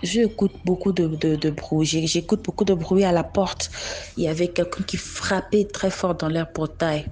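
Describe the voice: A woman with a fairly low pitch and a dark, mellow tone talks at a moderate pace with fairly even intonation and few pauses.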